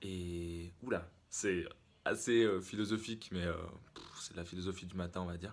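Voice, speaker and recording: A man with a very deep, low voice speaks in fairly even intonation while his loudness swings widely. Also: fairly slow pace. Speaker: fitness vlogger. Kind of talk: vlog. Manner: hesitant, many fillers.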